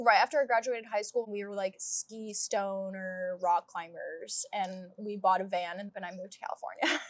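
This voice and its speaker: Here a woman speaks with a Midwestern American accent. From US Midwest. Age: 20s. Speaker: hairstylist. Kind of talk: casual chat. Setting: outdoors in a garden.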